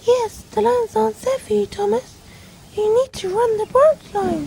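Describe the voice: A cartoonish character voice, female-sounding, at a moderate pace over clear background noise.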